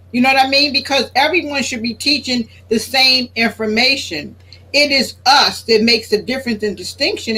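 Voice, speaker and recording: A woman's high-pitched voice with an American accent, bright and sharp in tone, at a moderate pace with ordinary pitch variation. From Philadelphia, US. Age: 60s. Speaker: religious speaker. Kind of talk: talk show interview.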